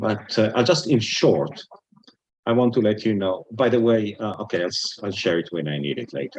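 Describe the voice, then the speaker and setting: An Israeli accent at a moderate pace. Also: man. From Israel, Jerusalem. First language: Hebrew. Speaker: retired business executive, Bible student. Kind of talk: talk to interfaith group.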